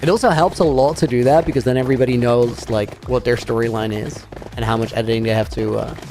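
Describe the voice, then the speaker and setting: Over music in the background, a man with a Dutch accent talks at a very fast pace. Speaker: gaming streamer. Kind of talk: casual live-stream chat. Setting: live stream.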